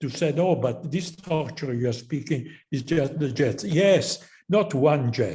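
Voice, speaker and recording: A man with an Italian accent speaks in a fairly high, somewhat breathy voice with a dark, mellow tone and lively intonation. His pace is fairly slow, and audible room echo surrounds him. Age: 80s+. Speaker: professor. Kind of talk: closing remarks at a conference. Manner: halting.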